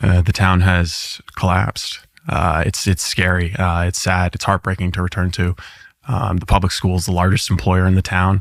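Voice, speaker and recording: Very deep, low male voice at a moderate pace, on a very clean recording with a silent background. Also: fairly even intonation. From Maine, central (Dexter). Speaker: interview guest. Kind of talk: interview. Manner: halting, many fillers.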